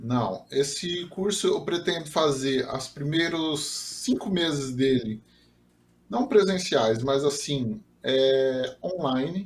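Lively intonation carries this very slow-paced speech. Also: man, fairly high pitch for a man. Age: 30s. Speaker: software developer and 3D printing enthusiast. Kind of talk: casual interview.

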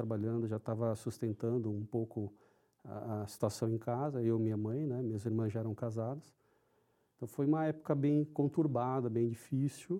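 Delivered at a moderate speed, this dark, mellow tone keeps a fairly even intonation. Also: man. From São Paulo, Brazil. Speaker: IT executive. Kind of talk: interview.

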